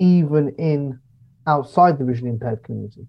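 This man talks at a fairly quick pace, his fairly high voice somewhat breathy. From Devon, England. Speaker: electronic music producer. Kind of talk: casual interview chat.

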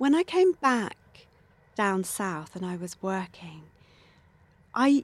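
A woman speaks in a southern English accent with very wide pitch swings. The recording is very clean and dry, close with no echo and a silent background. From southern England, near Winchester. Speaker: poet and former environmental campaigner. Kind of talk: interview conversation.

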